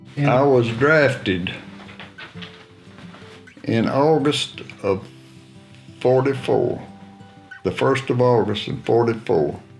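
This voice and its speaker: A man with a Southern US accent speaks very slowly in a medium-pitched voice, with ordinary pitch variation and long, frequent pauses, as music plays in the background. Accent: Southern American. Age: 80s+. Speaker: war veteran. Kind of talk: interview answer. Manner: reminiscing, folksy storytelling.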